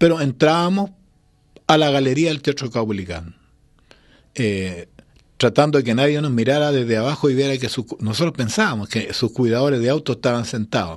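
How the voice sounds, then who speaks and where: With lively intonation and a moderate pace, a man speaks against quiet surroundings. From Chile (Santiago); Chile. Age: 60s. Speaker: singer-songwriter; guest. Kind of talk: interview. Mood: relaxed, nostalgic, smiling. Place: studio. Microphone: studio mic.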